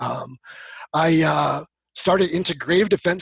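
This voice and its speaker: With vocal fry and fairly even intonation, the voice moves at a moderate pace in a dry, close recording with no echo. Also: man. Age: 40s. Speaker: self-defense instructor and mental training coach. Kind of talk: casual interview.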